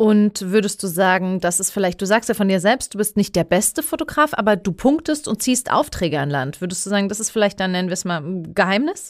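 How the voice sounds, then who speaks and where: Speaking in a Palatine accent, a woman uses a medium pitch. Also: lively intonation, fairly quick pace, hardly any pauses, very clean recording, silent background. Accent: Kurpfalz. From Heidelberg, Germany (Pfaffengrund). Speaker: podcast host. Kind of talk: casual interview chat.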